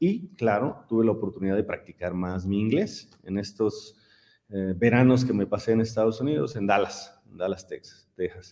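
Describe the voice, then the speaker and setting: A man talks at a moderate pace in a fairly low voice. His tone is dark and mellow, with ordinary pitch variation. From Mexico, San Miguel de Allende, Guanajuato. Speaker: engineer and simulation company founder. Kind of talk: interview conversation.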